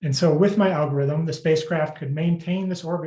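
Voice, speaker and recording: Somewhat breathy and dark, mellow in tone, a man speaks at a fairly quick pace with fairly even intonation. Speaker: PhD candidate defending thesis. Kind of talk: thesis defense presentation. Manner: fast.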